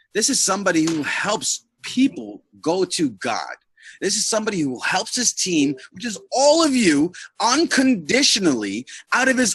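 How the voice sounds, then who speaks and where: A man talks loudly at a moderate pace in a high, animated voice with very wide pitch swings. The sound is dry and close, with no echo. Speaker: network marketing team leader. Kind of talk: motivational talk on a group call. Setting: online group video call. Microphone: too quiet.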